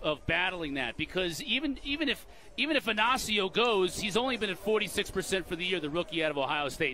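A man's raised, projected voice, high in pitch, with very wide pitch swings. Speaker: lacrosse play-by-play commentator. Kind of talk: live play-by-play sports commentary on faceoffs. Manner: rapid-fire, excitable calling of loose-ball scrambles; clipped fragments tracking the ball pass by pass.

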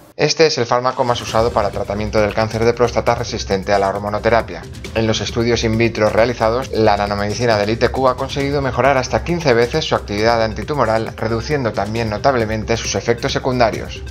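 Man at medium pitch, very fast with hardly any pauses and ordinary pitch variation, music playing in the background. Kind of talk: science news voice-over narration.

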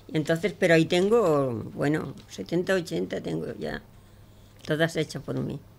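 A woman speaks very slowly with a very deep, low pitch and vocal fry. Her intonation is lively. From Andalusia, Pozoblanco (Córdoba). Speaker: amateur poet. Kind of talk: poetry reading; casual radio chat. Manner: halting. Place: studio. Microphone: studio mic.

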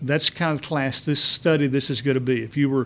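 With a Texan accent, a man talks at a fairly quick pace, his pitch fairly high and his pitch variation ordinary. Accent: Texan Southern US. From Texas. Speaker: Bible study teacher. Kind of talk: church Bible study lecture. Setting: church. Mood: warm, smiling, animated. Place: classroom. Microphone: podium.

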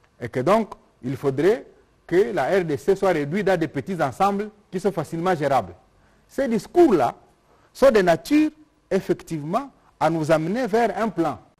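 A man with a high voice talks at a fairly slow pace, leaving long, frequent pauses. His pitch makes very wide swings over a quiet background. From DR Congo. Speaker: government minister. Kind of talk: press conference. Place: hall. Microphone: lapel.

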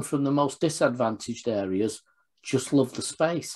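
A man at a fairly slow pace, quiet background. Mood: warm, reminiscing. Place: home room. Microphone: video call.

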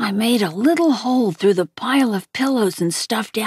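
The text is delivered in a natural reading voice.

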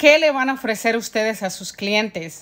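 A woman with lively intonation. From Mexico City. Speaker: house cleaner and vlogger. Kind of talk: casual vlog narration.

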